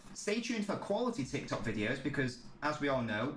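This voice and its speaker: With audible room echo around him, a man speaks with an English accent and lively intonation. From England. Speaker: football streamer. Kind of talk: live stream chat. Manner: casual, filler-heavy.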